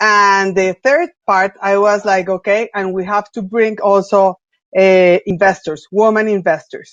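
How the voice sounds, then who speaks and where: A woman keeps her intonation fairly even while talking at a fairly slow pace. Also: medium pitch for a woman. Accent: Spanish. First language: Spanish. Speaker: venture capital investor. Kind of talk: panel discussion.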